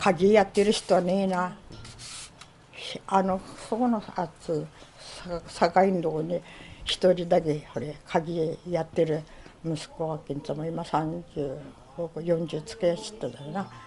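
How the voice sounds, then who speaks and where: Speaking at a fairly slow pace with long, frequent pauses, a woman with a Tohoku accent has fairly low pitch, a dark, mellow tone and fairly even intonation. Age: 70s. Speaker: former general store manager. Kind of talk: interview answer.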